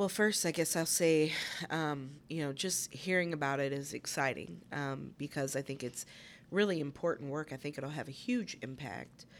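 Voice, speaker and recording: Speaking at a moderate pace, a woman has a very deep, low pitch and ordinary pitch variation. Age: 40s. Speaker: lawyer and board member. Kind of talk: interview.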